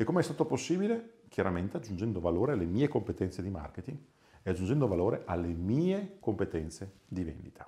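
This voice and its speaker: Against a quiet background, a man talks at a fairly quick pace, somewhat breathy, his pitch swinging very widely. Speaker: sales and business coach; sales, business coach. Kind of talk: motivational talk to camera. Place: office. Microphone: lapel.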